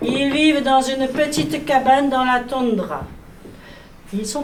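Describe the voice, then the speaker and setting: A woman speaks at a very slow pace in a high voice, with noticeable background noise. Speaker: storyteller. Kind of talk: children's storytelling performance.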